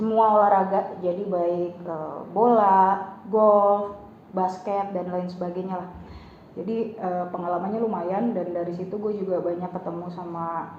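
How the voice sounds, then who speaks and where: Woman with a medium pitch and monotone, flat intonation. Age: young. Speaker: voice-over talent. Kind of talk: interview answer. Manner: casual, chatty.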